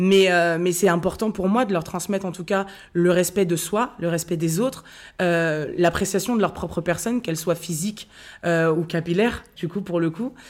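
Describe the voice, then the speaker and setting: On a very clean recording with a silent background, a plain, everyday voice moves at a moderate pace with fairly even intonation. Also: woman, fairly low pitch for a woman. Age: 30s. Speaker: content creator and author. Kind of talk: casual chat.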